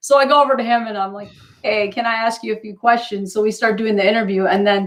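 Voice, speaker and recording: Speaking very fast in an animated tone, a woman talks with an Upper Midwest accent. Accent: Upper Midwest American. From northern Wisconsin. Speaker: talk show host, former TV news reporter. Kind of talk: casual chat, personal testimony.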